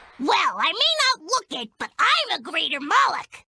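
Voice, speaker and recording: In a put-on character voice, the speaker goes extremely high in pitch with very wide pitch swings at a moderate pace. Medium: video game.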